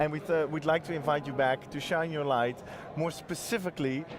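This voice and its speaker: A man's fairly high voice at a moderate pace, with ordinary pitch variation and music in the background. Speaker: livestream interviewer. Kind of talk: interview. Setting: trade fair livestream.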